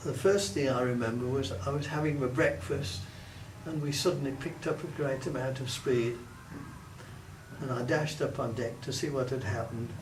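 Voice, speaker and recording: In an English accent, a man speaks at a moderate pace and medium pitch with ordinary pitch variation, amid noticeable background noise and audible room echo. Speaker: war veteran. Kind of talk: oral history interview. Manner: halting.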